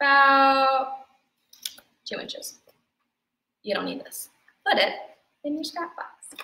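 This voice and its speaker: Using a raised, projected voice with big swings in loudness, a woman with an American accent speaks at a high pitch, very slowly, with long, frequent pauses. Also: ordinary pitch variation. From New Jersey, Bergen County (Teaneck). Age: 20s. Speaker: arts and crafts instructor. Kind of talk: tutorial. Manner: casual, chatty.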